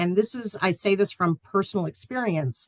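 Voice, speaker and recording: A woman talks in an ordinary speaking voice at medium pitch. Her intonation is lively, and the sound is dry and close with no echo. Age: 40s. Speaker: financial planning instructor. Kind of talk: lecture. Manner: casual, many filler ums.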